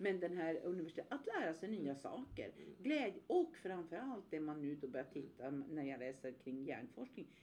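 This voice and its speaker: Her tone dark and mellow, a woman with a fairly low pitch talks at a moderate pace with very wide pitch swings and hardly any pauses. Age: 60s. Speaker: podcast co-host, workplace ageing consultant. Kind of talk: casual podcast discussion.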